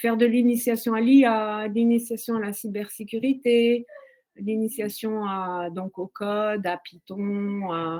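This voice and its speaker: Her voice is fairly high for a woman, with a dark, mellow tone and fairly even intonation. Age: 60s. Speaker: career changer in tech training. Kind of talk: testimony. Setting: online webinar. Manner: halting, many hesitations.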